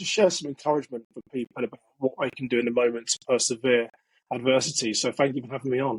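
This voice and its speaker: A man's medium-pitched voice in a British accent, very fast in pace, with a dry, close sound and no echo. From England. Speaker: security expert and author. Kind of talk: interview.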